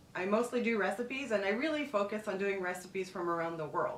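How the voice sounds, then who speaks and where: A woman speaks at a medium pitch with lively intonation. There is audible room echo and noticeable background noise. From Quebec, Montreal. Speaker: travel and food vlogger. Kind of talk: casual vlog monologue.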